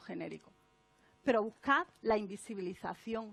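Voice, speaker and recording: Speaking at a fairly slow pace, a woman with an Andalusian accent has lively intonation and an animated tone. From Andalusia, Spain. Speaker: author and speaker on non-sexist language. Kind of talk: conference talk.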